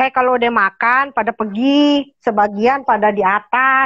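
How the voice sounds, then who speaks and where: In a quiet setting, a woman talks at a moderate pace. Her voice is high, with fairly even intonation. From Jakarta. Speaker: cat rescuer. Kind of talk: call-in appeal. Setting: video call. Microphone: earbuds.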